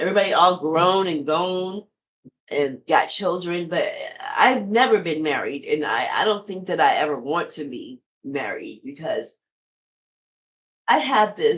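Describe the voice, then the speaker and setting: A woman speaks in an animated tone at a medium pitch. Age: 50s. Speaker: podcast host. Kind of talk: casual monologue.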